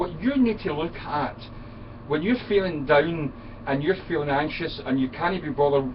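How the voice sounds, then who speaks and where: Amid noticeable background noise, a man with a Scottish accent speaks with lively intonation. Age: 50s. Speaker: friend of the channel owner. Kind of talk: casual chat. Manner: animated.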